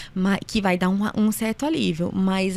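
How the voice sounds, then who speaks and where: The recording of this woman is very clean, with a silent background. She speaks at a medium pitch with fairly even intonation. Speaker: allergist and immunologist doctor. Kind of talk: casual interview. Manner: fast.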